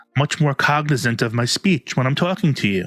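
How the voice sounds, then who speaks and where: Speaking at a moderate pace in a strong New York accent, a man has a bright, sharp tone and lively intonation, recorded with a dry, close sound and no echo. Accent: thick New York. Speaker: self-help youtuber. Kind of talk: vlog monologue. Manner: slurred enunciation.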